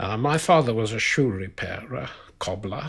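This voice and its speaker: A man with a South African accent speaks at a very slow pace. His medium-pitched voice is somewhat breathy. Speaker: biologist. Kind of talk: interview answer.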